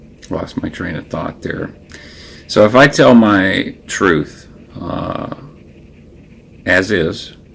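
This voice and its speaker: Against noticeable background noise, a man talks at a very slow pace with lively intonation and long, frequent pauses. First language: Louisiana Creole French. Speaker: livestream host, ex-Scientologist. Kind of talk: casual livestream monologue. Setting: live stream with Discord chat. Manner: halting, many fillers and restarts. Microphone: new audio setup.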